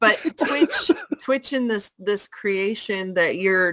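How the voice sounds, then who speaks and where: Her intonation is lively as this woman speaks at a very slow pace. The sound is dry and close, without any echo. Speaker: co-host. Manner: playful, teasing.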